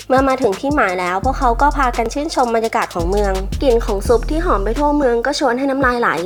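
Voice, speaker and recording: A high-pitched woman's voice with ordinary pitch variation and music in the background. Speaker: movie recap narrator. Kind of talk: animated film plot recap narration. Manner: friendly, casual.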